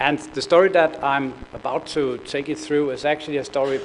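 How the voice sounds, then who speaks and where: With a Danish accent, the speaker talks at a moderate pace against noticeable background noise. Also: man. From Denmark. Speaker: corporate procurement executive. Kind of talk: conference presentation. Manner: hesitant, many fillers and repetitions.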